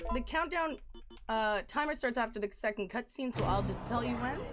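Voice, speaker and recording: Over music in the background, a woman talks loudly at a moderate pace, high in pitch with lively intonation. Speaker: speedrunner. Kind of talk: live commentary.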